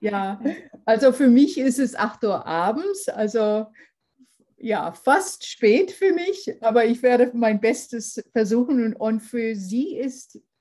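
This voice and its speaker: A woman with an English accent, high-pitched with very wide pitch swings and a dark, mellow tone, at a very slow pace. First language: English (speaking German). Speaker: lecturer. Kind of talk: lecture. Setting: video call. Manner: formal.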